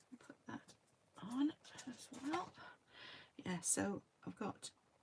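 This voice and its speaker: A woman speaks quietly with a British accent. Her pace is very slow. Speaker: card crafter demonstrating stamping. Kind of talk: crafting tutorial. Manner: hesitant, many fillers. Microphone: no external microphone, voice quiet.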